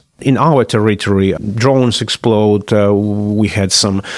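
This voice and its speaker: A man speaks with a Polish accent. His pitch is fairly low. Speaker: political analyst. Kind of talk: interview. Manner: halting, many fillers.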